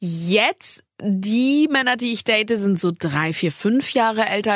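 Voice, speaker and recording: A woman speaks fairly slowly in an ordinary speaking voice, pitched fairly high with lively intonation. The recording is very clean, with a silent background. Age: 20s. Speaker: podcast host. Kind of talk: casual chat.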